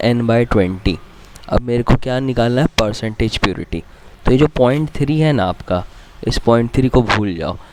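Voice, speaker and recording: Moderately paced, mid-pitched speech from a man, amid noticeable background noise. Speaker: chemistry teacher. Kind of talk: lecture. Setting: recording from a different place. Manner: casual.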